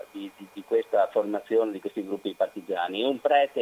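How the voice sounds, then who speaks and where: Noticeable background noise fills the clip. Through it, a man is talking. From Vittorio Veneto, Veneto. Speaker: historian and researcher. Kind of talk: interview about history. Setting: phone call.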